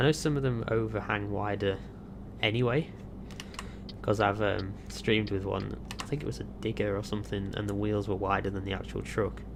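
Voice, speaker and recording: A man with a British accent at a fairly quick pace, with audible room echo and noticeable background noise. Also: fairly low pitch for a man, ordinary pitch variation. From Britain. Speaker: gaming YouTuber. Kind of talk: casual gameplay commentary. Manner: casual, rambling with fillers.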